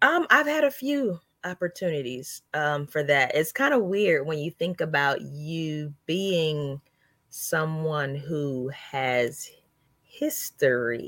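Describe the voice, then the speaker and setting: On a very clean recording with a silent background, a woman with a slight Southern US accent speaks at a very slow pace, her very deep, low pitch showing ordinary variation. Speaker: comedian. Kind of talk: casual chat.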